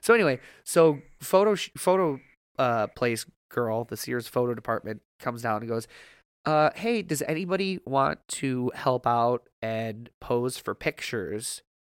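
Lively intonation marks this man's medium-pitched voice, heard in a dry, close, echo-free recording that is very clean with a silent background. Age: 30s. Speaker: podcast co-host. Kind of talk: casual chat. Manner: halting, many fillers.

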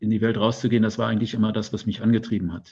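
A man with a fairly low pitch speaks against a quiet background. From Germany, Detmold (East Westphalia). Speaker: newspaper editor-in-chief. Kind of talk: interview.

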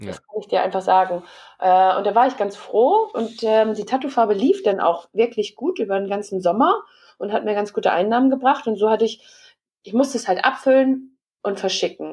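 Using an ordinary speaking voice, a woman with a fairly high pitch talks at a moderate pace. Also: ordinary pitch variation. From Hamburg, northern Germany. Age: 30s. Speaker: entrepreneur. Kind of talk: interview.

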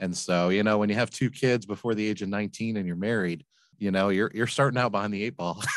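Against a quiet background, a man speaks very fast with an American accent. His intonation stays fairly even. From Flint, Michigan, US. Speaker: laundromat business owner and author. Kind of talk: interview.

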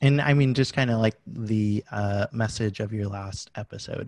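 A somewhat breathy man at a fairly low pitch and moderate pace, in a very clean, dry, close recording with a silent background and no echo. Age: 20s. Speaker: animal control officer and podcaster. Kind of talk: interview conversation. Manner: hesitant, many fillers.

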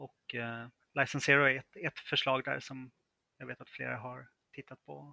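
An unremarkable speaking voice of a man at medium pitch and moderate pace, with fairly even intonation and a dry, close sound with no echo. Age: 30s. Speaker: freelance software developer. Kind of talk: interview.

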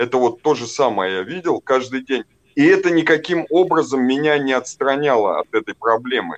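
A man at a moderate pace, dry and close with no echo. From northern Russia, small town. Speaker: guest in addiction recovery. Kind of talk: testimony. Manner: halting, with many fillers.

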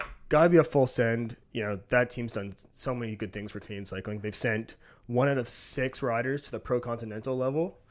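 A man's ordinary speaking voice, medium in pitch, fairly quick in pace, with big swings in loudness. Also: ordinary pitch variation. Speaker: podcast co-host. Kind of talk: casual banter. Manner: jokey.

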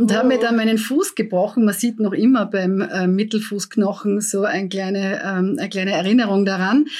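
A woman's medium-pitched voice at a moderate pace with ordinary pitch variation, on a very clean recording with a silent background. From Austria, Graz (Styria). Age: 50s. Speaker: politician. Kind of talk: interview. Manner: hesitant with fillers.

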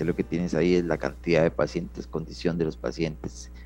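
Very deep and low, a man's voice shows vocal fry and ordinary pitch variation. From Costa Rica, San Ramón. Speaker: Red Cross rescuer and ambulance driver. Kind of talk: interview testimony. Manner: halting, repeats words.

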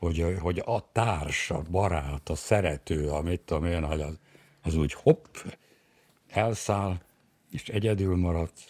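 In a very clean recording with a silent background, a man with a very deep, low pitch and ordinary pitch variation speaks at a very slow pace, pausing long and often. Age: 70s. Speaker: bereaved widower. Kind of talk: interview.

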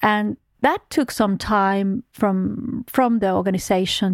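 With a Finnish accent, a woman speaks at medium pitch and a fairly slow pace, her pitch varying in an ordinary way. The recording is very clean and dry, close with no echo, over a silent background. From Finland. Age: 40s. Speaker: oil company executive. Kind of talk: interview. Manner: hesitant, many fillers.

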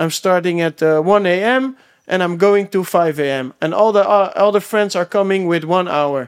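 Recorded very cleanly against a silent background, a man speaks at a moderate pace with a high pitch. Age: 20s. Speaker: personal trainer. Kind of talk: casual chat. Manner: halting.

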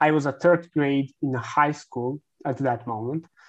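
A man speaks fairly slowly with a Serbian accent against a quiet background. His voice is fairly high with fairly even intonation. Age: 20s. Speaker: content marketing agency founder. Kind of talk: interview.

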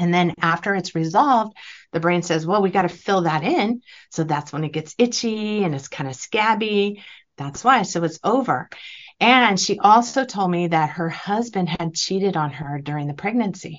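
A woman speaks in an unremarkable speaking voice. Her pitch is fairly low, with lively intonation. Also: moderate pace. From California. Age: 50s. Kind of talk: interview.

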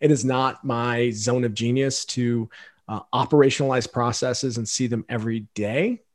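In an American accent, the speaker keeps a moderate pace with monotone, flat intonation. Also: man, medium pitch for a man. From Idaho, US. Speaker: management consultant. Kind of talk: interview conversation.

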